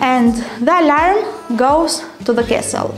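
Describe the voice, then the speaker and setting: Faint music plays in the background. A woman is speaking. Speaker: tour guide. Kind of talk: guided tour explanation. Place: tunnel cave. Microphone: camera far.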